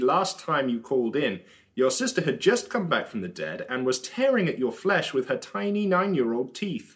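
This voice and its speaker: With very wide pitch swings, a man speaks with vocal fry. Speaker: radio host. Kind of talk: radio dj patter, mock-serious satirical. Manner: animated, sarcastic.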